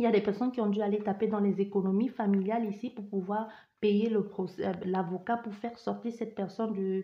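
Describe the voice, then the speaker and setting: A woman's somewhat breathy voice at medium pitch, fairly quick in pace and monotone, with flat intonation. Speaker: tarot card reader. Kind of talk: psychic reading. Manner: fast; barely pausing for breath.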